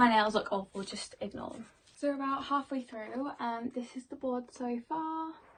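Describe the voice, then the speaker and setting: A woman speaks with a British accent at a moderate pace. Her pitch varies in an ordinary way. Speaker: vlogger and dancer. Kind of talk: casual vlog talk. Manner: loud; chatty, many fillers.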